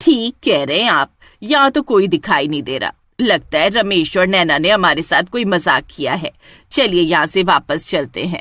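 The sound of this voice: A woman does a cartoonish character voice at medium pitch and moderate pace, swinging her pitch very widely, recorded dry and close with no echo.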